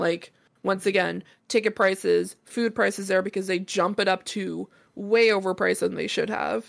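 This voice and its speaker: In a Canadian accent, the speaker goes at a moderate pace on a very clean recording with a silent background. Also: woman. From Canada. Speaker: podcast host and streamer. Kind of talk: casual chat.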